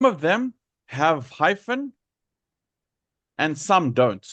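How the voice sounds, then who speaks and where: Very slow speech against a quiet background. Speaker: English teacher. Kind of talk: lecture.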